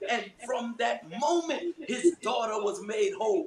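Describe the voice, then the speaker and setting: An American-accented man speaks at a very slow pace, with an extremely high pitch and ordinary pitch variation. Noticeable background noise can be heard. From New York. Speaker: prayer meeting leader; preacher. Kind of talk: fervent group prayer and scripture reading. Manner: fervent, rising, call-and-response, punctuated by hallelujahs. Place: home room. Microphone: video call.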